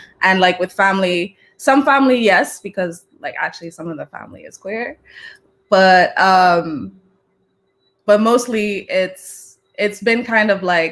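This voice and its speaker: A woman with an American accent speaks at a fairly slow pace, her medium pitch varying in an ordinary way while her loudness swings widely. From four different countries, half Trinidadian half Senegalese. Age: 20s. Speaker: musician and fashion designer. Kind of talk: casual interview chat.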